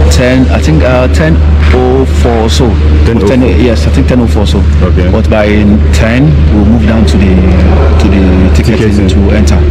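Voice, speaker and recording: A man speaks with long, frequent pauses against loud background noise. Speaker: passenger interviewed by vlogger. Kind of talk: interview answer. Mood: upbeat, hopeful. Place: station. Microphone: phone near.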